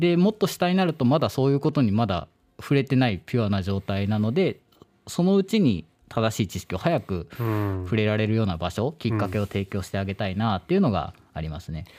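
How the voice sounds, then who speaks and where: The man's fairly low voice has a dark, mellow tone. He moves at a fairly quick pace with very wide pitch swings. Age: 20s. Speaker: startup founder. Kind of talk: radio interview.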